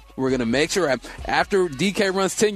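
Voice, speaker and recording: A man speaks in an upbeat, cheerful tone with lively intonation. There's noticeable background noise. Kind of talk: radio DJ patter: punchy sports-radio segment tease and sign-off. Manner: upbeat, rapid-fire, hype-man energy with a cheerful teaser cadence.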